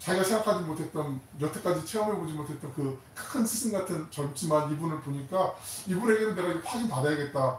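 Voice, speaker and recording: A man with a high voice talks at a fairly quick pace, with audible room echo and noticeable background noise. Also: ordinary pitch variation. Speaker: pastor. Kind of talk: sermon. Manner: fast; animated.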